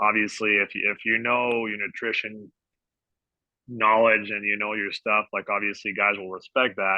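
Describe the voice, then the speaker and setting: A man with a slight French Canadian accent talks at a moderate pace and a fairly low pitch in a monotone, flat intonation. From Quebec, Canada. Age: 30s. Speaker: sports dietitian. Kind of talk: podcast interview.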